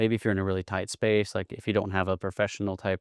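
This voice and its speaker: Delivered at a very fast pace in an East Texas accent, the speech has a dry, close sound with no echo over a quiet background. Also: man. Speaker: podcast consultant. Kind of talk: tutorial. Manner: casual.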